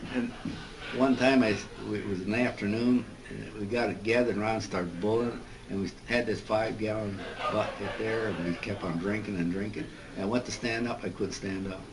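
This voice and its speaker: With a Midwestern American accent, the speaker moves at a fairly quick pace and fairly even intonation against noticeable background noise. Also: man, fairly low pitch for a man. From Joliet, Illinois, USA. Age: 80s+. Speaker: World War II veteran, P-38 crew chief. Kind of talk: interview answer.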